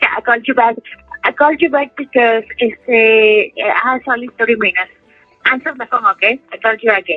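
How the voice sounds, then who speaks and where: With music playing behind her, a woman talks at a fairly quick pace in a fairly high voice with ordinary pitch variation. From Peru, Lima. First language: Spanish. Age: 30s. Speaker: prison inmate. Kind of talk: interview. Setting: phone call. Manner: halting.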